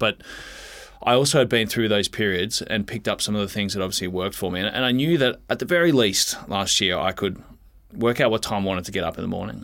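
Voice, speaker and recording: An Australian man speaks at a very fast pace. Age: 20s. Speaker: retired footballer. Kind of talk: casual chat.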